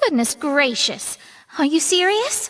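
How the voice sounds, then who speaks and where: A put-on character voice, squeaky and extremely high in pitch. It moves at a fairly slow pace with very wide pitch swings. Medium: video game. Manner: crisp, articulate.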